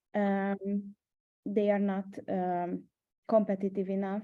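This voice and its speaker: A woman speaks with a Hungarian accent at a medium pitch. Her intonation is monotone and flat. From Hungary. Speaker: startup mentor. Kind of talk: webinar panel discussion. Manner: hesitant, many fillers.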